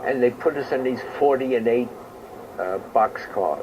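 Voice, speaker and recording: A man with a New York accent speaks at a fairly slow pace and medium pitch, with ordinary pitch variation and noticeable background noise. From New York City, Queens. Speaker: war veteran. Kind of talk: interview.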